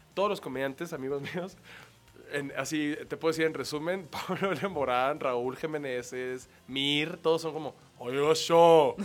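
A man's fairly high voice at a fairly slow pace, with music in the background. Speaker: comedian. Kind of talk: casual chat. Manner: animated.

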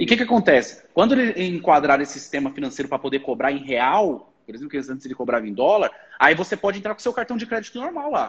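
Hardly pausing at all, a man races along at a very fast pace, his fairly high voice making very wide pitch swings. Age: 20s. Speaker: online marketer. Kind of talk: casual chat. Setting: livestream.

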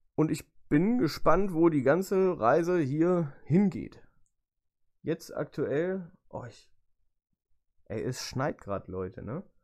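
Very slow speech with long, frequent pauses on a very clean recording with a silent background. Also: man, fairly high pitch for a man. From Lower Saxony, Germany (Göttingen). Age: 20s. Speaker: podcast host and motorsport photographer. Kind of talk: casual solo podcast monologue. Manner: chatty, talkative; hesitant fillers.

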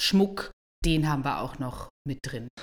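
A woman speaks with a very deep, low pitch. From Switzerland. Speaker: bridal fashion designer. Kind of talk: casual interview.

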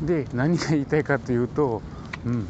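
A man talks with fairly even intonation. Noticeable background noise runs underneath. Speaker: building code inspector podcaster. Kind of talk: casual explanatory monologue.

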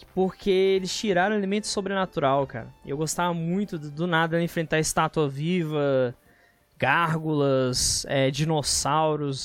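This man has an unremarkable speaking voice, fairly high in pitch, with ordinary pitch variation and a fairly slow pace. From Brazil, Federal District (Brasília area). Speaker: podcast host, gaming and geek news. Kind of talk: casual chat.

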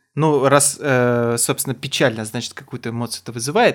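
In a very clean recording with a silent background, a man talks at a moderate pace with medium pitch in an ordinary speaking voice. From Kazakhstan. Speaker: podcast co-host, comedian. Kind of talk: casual chat.

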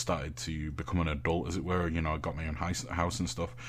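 A man with a very deep, low pitch speaks amid audible room echo. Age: 20s. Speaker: streamer and content creator. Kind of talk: casual chat.

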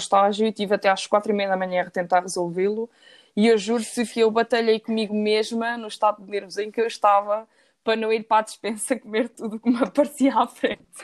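A woman's fairly high voice at a very fast pace, on a very clean recording with a silent background. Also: big swings in loudness. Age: 20s. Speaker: engineering student. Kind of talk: casual interview.

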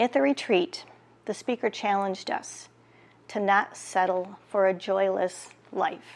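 At a fairly slow pace, a woman speaks in an unremarkable speaking voice with medium pitch and ordinary pitch variation. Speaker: prayer leader. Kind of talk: fervent prayer, intercessory petitions to God. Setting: online church video broadcast. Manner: earnest; warm.

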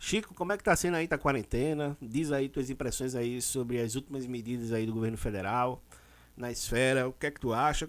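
A man's unremarkable speaking voice at medium pitch, with ordinary pitch variation, in a very clean recording over a silent background. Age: 40s. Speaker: podcast host. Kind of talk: casual chat.

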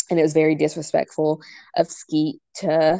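Very deep, low female voice with vocal fry and a dark, mellow tone, against a quiet background. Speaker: podcast co-host. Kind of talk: casual chat.

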